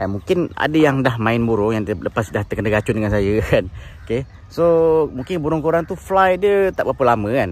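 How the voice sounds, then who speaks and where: This man's voice has a medium pitch that swings very widely, delivered at a moderate pace in a dry sound with no echo. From Malaysia. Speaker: bird keeper, YouTuber; YouTuber. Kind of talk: casual tutorial. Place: open country. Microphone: phone near.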